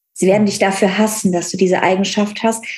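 Her intonation is fairly even, and the woman's voice comes across somewhat breathy. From Cologne area, western Germany. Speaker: relationship coach. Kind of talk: personal testimony in interview.

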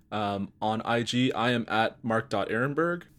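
On a very clean recording with a silent background, a man with an unremarkable speaking voice talks at medium pitch with ordinary pitch variation. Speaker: podcast host. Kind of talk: casual interview chat.

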